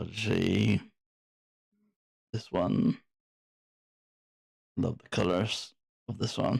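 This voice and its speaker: Very slowly and with long, frequent pauses, a man speaks in a fairly low, somewhat breathy voice, his loudness swinging widely and his pitch varying in an ordinary way. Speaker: digital art tutorial livestream host. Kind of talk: livestream showcase and casual chat. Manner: casual, conversational.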